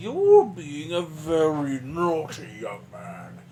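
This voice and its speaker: A female-sounding, put-on character voice, very deep and low for a woman, at a very slow pace over clear background noise. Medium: actual play. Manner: condescending, scolding.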